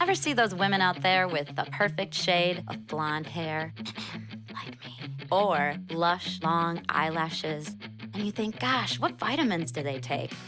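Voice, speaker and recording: A woman with a fairly low pitch speaks at a fairly slow pace with lively intonation, music playing in the background. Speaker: podcast host and entrepreneur. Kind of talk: radio-style ad read.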